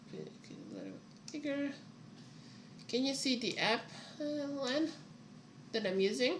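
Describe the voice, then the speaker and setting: With long, frequent pauses, a high-pitched woman talks at a fairly slow pace and with ordinary pitch variation, amid noticeable background noise and audible room echo. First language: not English. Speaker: writer streaming her writing. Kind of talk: casual livestream chat. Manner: halting.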